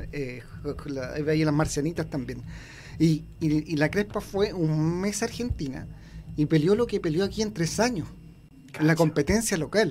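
A man with a Chilean accent speaks at a fairly slow pace in a fairly high pitch, with ordinary pitch variation and long, frequent pauses. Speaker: sports writer and author. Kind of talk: radio interview. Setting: radio studio.

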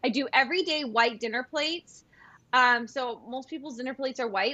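In a Californian accent, a woman talks at a fairly quick pace in a high, bright, sharp voice with ordinary pitch variation. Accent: Californian American. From US West Coast, San Diego. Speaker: content creator and former event planner. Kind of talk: casual chat.

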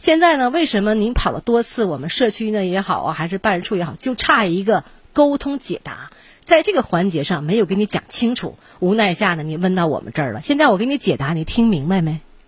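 Somewhat breathy speech at a fairly quick pace, with very wide pitch swings. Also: woman, medium pitch for a woman. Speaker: radio host. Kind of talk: call-in show. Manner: direct.

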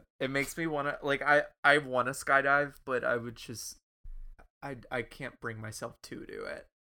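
On a very clean recording with a silent background, a man with a fairly high pitch and a bright, sharp tone speaks at a moderate pace in a monotone, flat intonation. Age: 20s. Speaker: podcast co-host. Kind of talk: casual chat.

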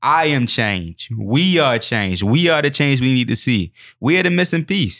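Over a silent background in a very clean recording, a man speaks at a moderate pace with vocal fry and very even loudness. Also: medium pitch for a man. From Baltimore City, Maryland. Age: 20s. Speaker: youth street outreach worker and writer. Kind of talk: interview. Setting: studio. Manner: many filler ums.

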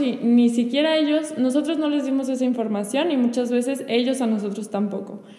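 In a room with audible echo, a woman speaks at a high pitch with fairly even intonation. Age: 20s. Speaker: teacher and florist. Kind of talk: testimony in casual conversation.

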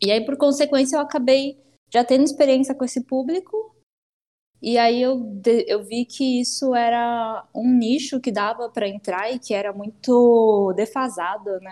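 At a fairly slow pace, a woman speaks at a high pitch with a dark, mellow tone. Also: ordinary pitch variation. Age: 20s. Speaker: hairdresser. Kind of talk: interview. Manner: casual, filler-heavy.

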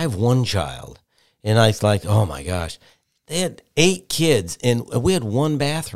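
A man's medium-pitched voice with very wide pitch swings and a Midwestern American accent. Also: fairly slow pace, very clean recording, silent background. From Michigan. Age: 50s. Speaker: TV weather forecaster and reporter. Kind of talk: casual interview.

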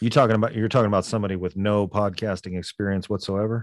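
A man with a fairly low pitch has an unremarkable speaking voice. His intonation is fairly even against a quiet background. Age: 40s. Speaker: fiction podcast host and producer. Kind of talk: casual interview chat.

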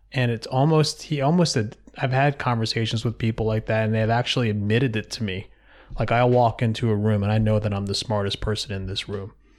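An ordinary speaking voice with an American accent, fairly even intonation and a fairly quick pace, in a very clean recording with a silent background. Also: man. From US Mid-Atlantic (Philadelphia area). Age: 40s. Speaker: float center owner, entrepreneur. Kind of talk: casual interview conversation. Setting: in his own office.

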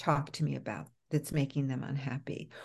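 A dark, mellow voice with vocal fry, speaking in an American accent at a moderate pace. The background is quiet. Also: woman. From New York. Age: 60s. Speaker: author and psychotherapist. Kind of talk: podcast interview.

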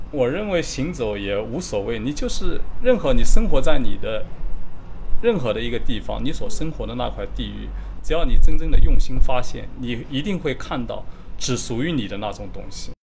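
With music in the background and audible room echo, a man speaks at a moderate pace with big swings in loudness. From Jiangsu, Yixing (southern Jiangsu). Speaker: writer. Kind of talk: interview. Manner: halting, with fillers.

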